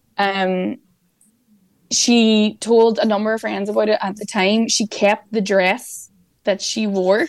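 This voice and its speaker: She speaks with an Irish accent at a very slow pace. Her pitch is fairly high and her intonation fairly even. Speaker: journalist. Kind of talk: news discussion.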